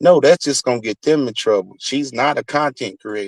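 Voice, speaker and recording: The speaker is a man with ordinary pitch movement. He goes at a moderate speed. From US South. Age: 40s. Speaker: YouTube streamer. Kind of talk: heated rant. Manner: animated.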